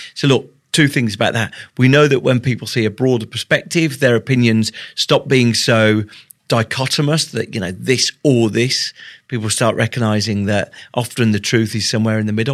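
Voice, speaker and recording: Here a man speaks with a British accent and ordinary pitch variation. The background is silent in this very clean recording. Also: medium pitch for a man, moderate pace. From Britain. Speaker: tech executive and author. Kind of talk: interview. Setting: university, in person.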